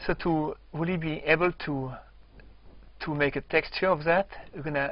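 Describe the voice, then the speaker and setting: Spoken with a French accent, the delivery is broken up by long, frequent pauses. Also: man. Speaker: software tutorial presenter. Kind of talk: tutorial. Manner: slow; halting.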